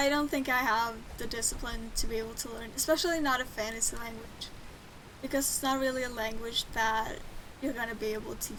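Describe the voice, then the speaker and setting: A woman with a fairly high pitch, fairly quick pace and fairly even intonation, amid audible room echo and noticeable background noise. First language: Swedish. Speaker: game streamer. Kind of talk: casual gameplay commentary. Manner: casual, with fillers.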